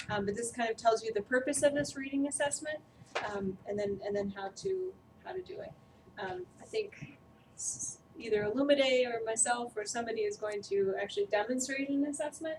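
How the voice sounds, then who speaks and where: A soft-spoken woman at a fairly high pitch and fairly quick pace, with lively intonation, amid noticeable background noise. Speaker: trainer. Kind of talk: training presentation. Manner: hesitant, many fillers.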